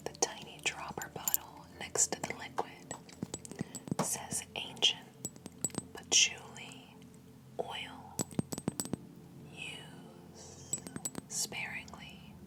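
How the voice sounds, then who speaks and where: A woman whispers at a very slow pace in a soothing tone, leaving long, frequent pauses. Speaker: ASMR creator and fragrance reviewer; ASMR storyteller. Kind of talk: second-person ASMR storytelling narration. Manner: slow, hushed, soothing. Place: home room. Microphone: studio mic.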